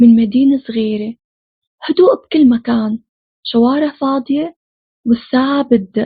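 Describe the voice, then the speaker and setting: At a fairly slow pace and with long, frequent pauses, a woman with a Syrian accent speaks in a high pitch with ordinary pitch variation. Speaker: film recap narrator. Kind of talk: horror film plot recap. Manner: casual, chatty.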